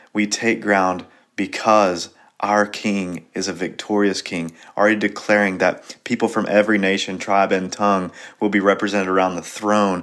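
On a very clean recording with a silent background, a man with a fairly low voice speaks at a moderate pace in a monotone, flat way. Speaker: pastor. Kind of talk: daily devotional Bible teaching. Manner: occasional stumbles and fillers.

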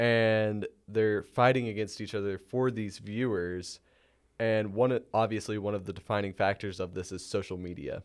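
A man with a plain, everyday voice and fairly low pitch speaks at a moderate pace with fairly even intonation, on a very clean recording with a silent background. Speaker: student podcast host. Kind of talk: interview. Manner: partly scripted, reads prepared questions.

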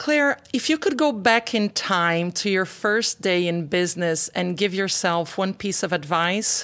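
A woman with an ordinary speaking voice, medium pitch and lively intonation, at a fairly slow pace with hardly any pauses and very even loudness. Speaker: podcast host. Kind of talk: interview, host questions.

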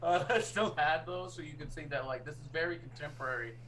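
A man speaks with an American accent and ordinary pitch variation. There is audible room echo. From US Northeast. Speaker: podcast co-host. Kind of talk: casual chat.

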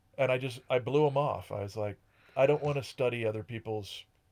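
A man speaks at a fairly quick pace. It is an ordinary speaking voice with a medium pitch. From rural Connecticut. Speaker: musician. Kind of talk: casual chat.

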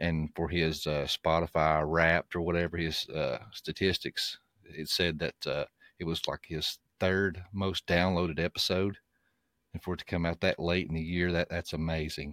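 Recorded very cleanly against a silent background, with a dry, close sound and no echo, the voice moves at a moderate pace in a monotone, flat intonation. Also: man. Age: 30s. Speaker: podcast host. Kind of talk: casual update monologue. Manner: casual with frequent fillers.

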